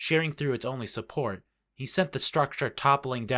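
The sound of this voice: Over a quiet background, someone reads in an unforced voice with ordinary pitch variation.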